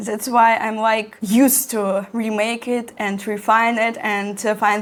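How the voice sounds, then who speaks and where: Over noticeable background noise, a woman with a Russian accent speaks fairly slowly at a fairly high pitch with fairly even intonation. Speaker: architecture student and content creator. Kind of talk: tutorial. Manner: halting.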